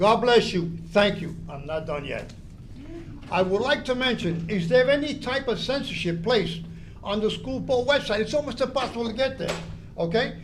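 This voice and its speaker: A loud man speaks with a high pitch and lively intonation at a moderate pace. Audible room echo and noticeable background noise surround him. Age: 80s+. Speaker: public commenter at school board meeting. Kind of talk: public comment speech. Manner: animated.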